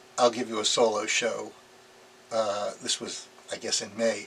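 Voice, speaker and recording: A man's speech comes through with noticeable background noise around it. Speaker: artist and former product designer. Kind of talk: interview monologue. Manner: halting, many fillers.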